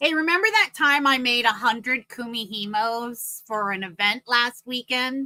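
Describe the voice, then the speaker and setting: In a high voice with a bright, sharp, animated tone, a woman talks at a moderate pace with hardly any pauses and ordinary pitch variation, the sound dry and close with no echo. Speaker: craft vendor and show host. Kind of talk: casual chat. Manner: loud.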